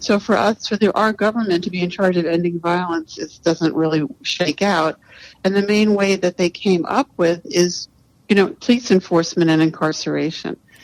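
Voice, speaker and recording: A woman with an American accent uses a plain, everyday voice at a fairly low pitch, speaking at a moderate pace with ordinary pitch variation in a dry, close sound with no echo. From US, New York City. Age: 60s. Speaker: writer and activist. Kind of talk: podcast interview.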